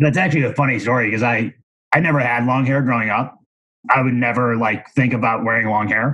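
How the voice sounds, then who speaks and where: A man with an American accent talks at a very fast pace, his medium pitch showing ordinary variation and his loudness staying very even. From Missouri, near St. Louis. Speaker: commercial real estate broker. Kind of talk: casual interview.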